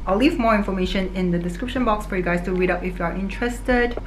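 A woman at a very fast pace, ordinary pitch variation, light background noise behind her. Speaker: vlogger. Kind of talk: sponsored product review. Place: home room.

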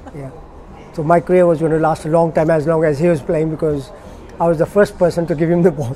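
Noticeable background noise sits behind a man speaking at a very fast pace. His fairly high voice keeps a fairly even intonation. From Kenya. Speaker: former international hockey player. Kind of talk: oral history interview answer.

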